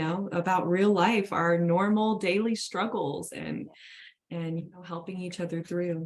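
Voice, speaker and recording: A woman speaks in an ordinary speaking voice at a fairly low pitch, a moderate pace and fairly even intonation. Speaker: wellness coach. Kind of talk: livestream chat.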